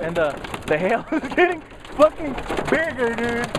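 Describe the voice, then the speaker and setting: Noticeable noise sits behind a moderate-paced speaker with an American accent. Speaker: vlogger. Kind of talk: casual vlog. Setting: in a car during hailstorm. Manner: loud.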